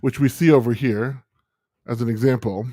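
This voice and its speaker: In a very clean recording with a silent background, a man with a dark, mellow tone and medium pitch speaks at a moderate pace with ordinary pitch variation. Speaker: software tutorial livestream host. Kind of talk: live tutorial. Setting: livestream. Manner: hesitant, filler-heavy.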